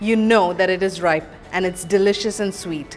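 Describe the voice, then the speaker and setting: Faint music plays in the background as a woman talks. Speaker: home cook host. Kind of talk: cooking tutorial. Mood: cheerful, friendly. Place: kitchen.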